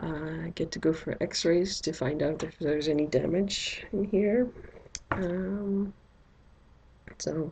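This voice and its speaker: A woman speaks in a fairly low pitch with a dark, mellow tone. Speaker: doll collector vlogger. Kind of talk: unboxing video. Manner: slow.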